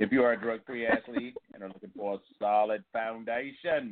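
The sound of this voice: A man speaks in a theatrical tone at a moderate pace. His pitch is medium, with ordinary variation.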